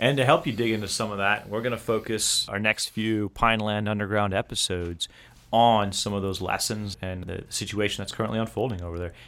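Delivered at a fairly quick pace, a normal speaking voice keeps its intonation fairly even. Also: man, fairly low pitch for a man. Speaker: military officer podcast host. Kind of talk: casual podcast chat. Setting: studio.

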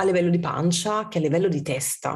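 Her voice has a somewhat breathy quality. The woman talks at a fairly low pitch. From southern Italy, Amalfi Coast. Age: 40s. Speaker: food writer and communication consultant. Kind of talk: interview conversation.

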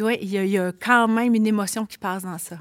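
A woman speaks in a normal speaking voice at a moderate pace, her medium pitch moving with ordinary variation. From Quebec City, Limoilou. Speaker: author and teacher. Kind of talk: casual chat.

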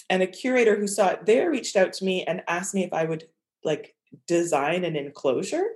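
A woman's plain, everyday voice, medium in pitch, fairly quick, with lively intonation. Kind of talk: casual interview conversation.

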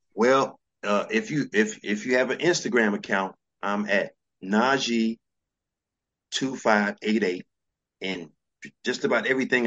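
The speaker has a New York accent and a fairly slow pace. Long, frequent pauses break up the speech. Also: man, medium pitch for a man, ordinary pitch variation. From New York, Brooklyn. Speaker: fashion entrepreneur. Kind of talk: interview.

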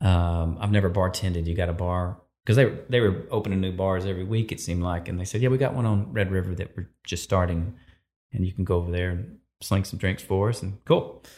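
This man has a very deep, low voice with a dark, mellow tone and fairly even intonation. He talks at a fairly quick pace on a very clean recording with a silent background. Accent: Texan. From East Texas. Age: 50s. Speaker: photographer and filmmaker. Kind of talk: interview, storytelling.

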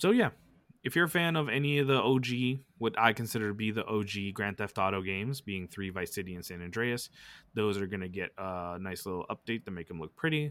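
An unremarkable speaking voice from a man with an American accent, fairly low in pitch and at a fairly quick pace, on a very clean recording with a silent background. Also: lively intonation. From Los Angeles, US West Coast. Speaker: gaming podcast co-host. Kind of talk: casual chat.

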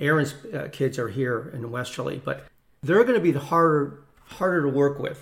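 A man with an American accent speaks in a normal speaking voice at a moderate pace. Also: fairly high pitch for a man, ordinary pitch variation. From Connecticut, US. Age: 60s. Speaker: retired corporate executive and business owner. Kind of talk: casual interview, personal storytelling.

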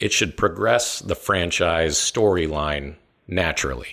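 On a very clean recording with a silent background, a man with a very deep, low voice and vocal fry speaks with lively intonation. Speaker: film podcast host. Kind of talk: casual film discussion podcast.

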